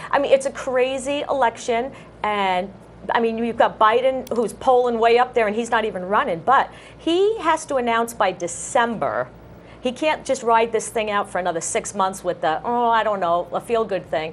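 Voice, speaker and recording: A woman with a fairly high pitch speaks at a moderate pace. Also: lively intonation. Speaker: local access TV co-host. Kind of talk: casual talk show chat. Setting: TV studio. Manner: loud.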